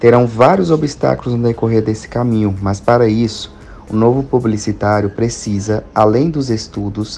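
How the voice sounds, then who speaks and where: Ordinary pitch variation from a male speaker, with noticeable background noise behind him. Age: 20s. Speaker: marketing agency owner. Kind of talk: interview.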